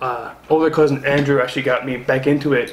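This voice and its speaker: A man talks with ordinary pitch variation. There's audible room echo and noticeable background noise. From Newfoundland, Canada. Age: 20s. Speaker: pro wrestler. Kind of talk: interview. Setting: studio apartment. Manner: halting.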